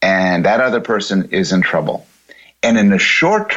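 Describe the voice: A quiet background behind plain reading aloud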